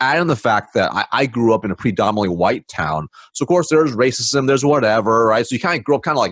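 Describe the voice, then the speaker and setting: A man's medium-pitched voice, very fast and lively in intonation, on a very clean recording with a silent background. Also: hardly any pauses, dry, close sound with no echo. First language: not English. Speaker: sales consultant. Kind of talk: podcast interview. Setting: podcast. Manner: many fillers and restarts.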